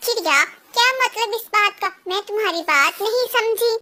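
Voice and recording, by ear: In a squeaky, cartoonish character voice that sounds female, the speaker goes at a moderate pace with an extremely high pitch.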